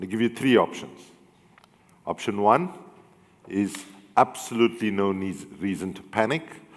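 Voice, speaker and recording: A man with an African accent and fairly low pitch speaks at a moderate pace, with ordinary pitch variation, big swings in loudness and long, frequent pauses. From South Africa. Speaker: human rights and environmental activist. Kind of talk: panel discussion with audience.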